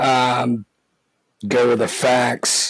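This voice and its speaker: Captured with a dry, close sound and no echo, a man talks at medium pitch. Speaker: podcast host. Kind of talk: podcast monologue. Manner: halting, many fillers.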